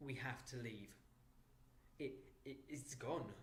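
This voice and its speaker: Heard with audible room echo, a man speaks at a moderate pace in a somewhat breathy voice. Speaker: audiobook narrator. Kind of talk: reading aloud. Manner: clear.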